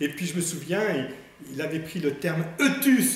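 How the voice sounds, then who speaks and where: With lively intonation, a man talks at a high pitch and a moderate pace. The recording has audible room echo and noticeable background noise. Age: 60s. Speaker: priest. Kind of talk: religious talk. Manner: hesitant.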